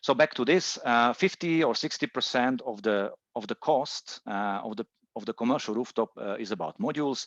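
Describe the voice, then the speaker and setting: A man with a Czech accent talks at a moderate pace and medium pitch, with lively intonation and long, frequent pauses. The sound is dry and close with no echo, over a quiet background. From Czech Republic. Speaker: solar industry presenter. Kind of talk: webinar presentation. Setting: online webinar. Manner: hesitant, many fillers.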